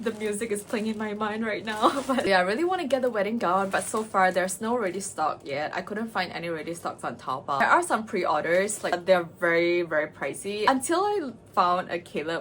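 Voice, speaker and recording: A woman of medium pitch with a non-native accent speaks at a moderate pace, with hardly any pauses. Her pitch swings very widely over noticeable background noise. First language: not English. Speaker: cosplay and makeup vlogger. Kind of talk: casual vlog chat. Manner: animated.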